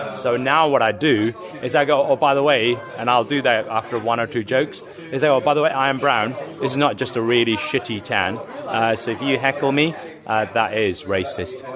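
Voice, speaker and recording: This man talks at a fairly quick pace in a medium pitch. Crowd noise carries in the background. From village in India, moved to UK at about ten. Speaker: stand-up comedian. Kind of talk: podcast interview. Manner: halting, many fillers and restarts.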